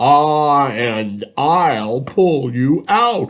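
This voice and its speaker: In a put-on character voice, a man speaks at a fairly high pitch. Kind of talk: children's read-aloud. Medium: read story.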